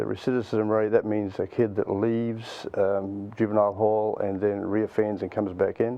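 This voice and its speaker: A man's fairly low voice in a New Zealand accent, monotone and flat, at a moderate pace. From New Zealand, Auckland. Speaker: nonprofit youth mentoring leader. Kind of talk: interview.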